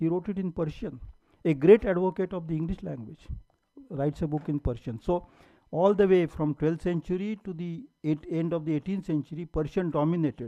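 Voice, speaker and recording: A man's high, dark and mellow voice in a Marathi accent, at a moderate pace with ordinary pitch variation, in a dry, close sound with no echo. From India, Maharashtra. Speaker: professor. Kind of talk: lecture.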